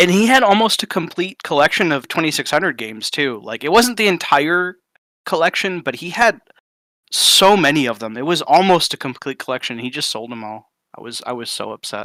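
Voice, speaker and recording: In a dry, close recording with no echo, a man speaks fairly quickly in a fairly high, bright and sharp voice, with very wide pitch swings and big swings in loudness. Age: 40s. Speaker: community member on gaming discussion stream. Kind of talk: casual chat. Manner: animated.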